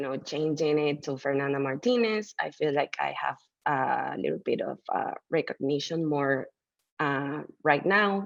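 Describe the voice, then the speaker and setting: This woman has a Mexican accent. She talks at a fairly slow pace. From Mexico City. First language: Spanish. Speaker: artist. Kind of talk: interview. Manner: halting, with many fillers.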